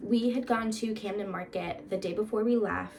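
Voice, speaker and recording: A woman's fairly high, animated voice at a moderate pace, with ordinary pitch variation over noticeable background noise. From Florida, US. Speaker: vlogger. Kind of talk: casual vlog chat. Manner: animated, chatty.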